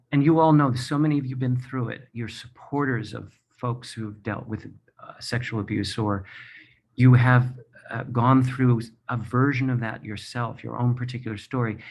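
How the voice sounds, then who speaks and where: A man speaks in an unremarkable speaking voice at medium pitch. His pace is moderate and his intonation fairly even. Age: 60s. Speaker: Broadway performer and author. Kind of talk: personal testimony speech. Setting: video from his apartment.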